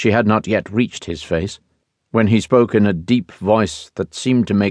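Over a quiet background, someone reads in a natural voice with fairly even intonation.

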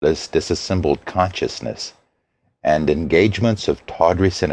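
A man's very deep, low voice, dramatic and theatrical, with lively intonation. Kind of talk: poetry reading aloud, audiobook narration. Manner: slow, dramatic, theatrical, measured cadence; formal, dreamy, incantatory delivery of ornate verse.

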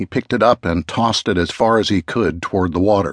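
Over a quiet background, a man speaks fairly quickly in a normal speaking voice, with fairly low pitch and ordinary pitch variation. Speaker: audiobook narrator. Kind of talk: dramatic audiobook narration of a true-crime story. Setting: audiobook recording.

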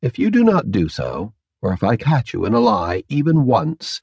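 The voice carries vocal fry. The sound is dry and close, with no echo. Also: man. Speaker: audiobook narrator. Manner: calm, measured, formal, politely threatening in the interrogator's lines.

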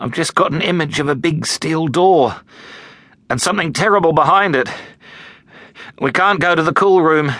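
A man's put-on character voice, hoarse and croaky, fairly high in pitch, at a moderate pace with long, frequent pauses. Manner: shaken, urgent.

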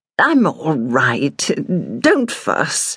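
Pitched high, a man's put-on character voice carries the clip. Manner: forced calm, unconcerned, brusque.

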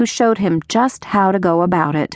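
The delivery is a natural reading voice. Pitch rises and falls in an ordinary way.

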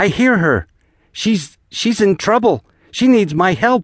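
The put-on character voice sits fairly high in pitch. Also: fairly slow pace. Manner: frantic, yelling.

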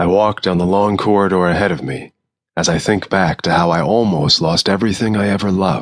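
The speaker is reading aloud in a natural voice with fairly even intonation. The background is quiet.

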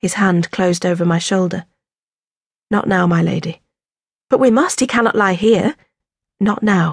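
Speaking at a moderate pace and medium pitch, a woman keeps her loudness very even. Her voice is somewhat breathy, with ordinary pitch variation and long, frequent pauses. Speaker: audiobook narrator. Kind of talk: dramatic first-person audiobook narration of a historical novel. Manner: urgent and breathless in the fall from the horse, then measured and tender.

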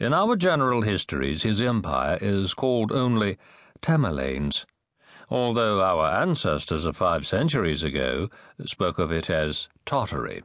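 A man's voice with vocal fry, very wide pitch swings and very even loudness over a quiet background. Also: fairly low pitch for a man, moderate pace. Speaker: audiobook narrator. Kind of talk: dramatic audiobook narration of epic history. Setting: studio. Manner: grave, sweeping storyteller cadence savoring ominous imagery; measured, formal delivery with weighty pauses between clauses.

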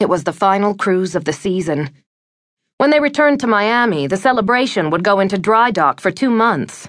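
With a plain, everyday voice, a woman speaks at a medium pitch and very even loudness against a quiet background. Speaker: audiobook narrator. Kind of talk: audiobook narration of a romance novel, reading aloud. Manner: smooth, measured, wistful storytelling.

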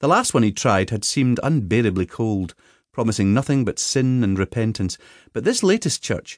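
This reading is delivered in a natural voice.

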